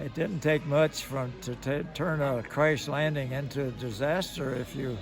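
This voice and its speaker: With music in the background, a man in an American accent speaks at a fairly high pitch with fairly even intonation. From Kentucky, USA. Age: 80s+. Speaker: World War II veteran, former B-17 gunner. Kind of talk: interview answer.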